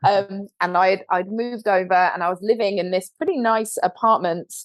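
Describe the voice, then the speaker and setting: A woman talks with a British accent. She keeps a moderate pace. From London, England. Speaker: co-founder of a video marketing agency, former TV host. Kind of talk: podcast interview. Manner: animated.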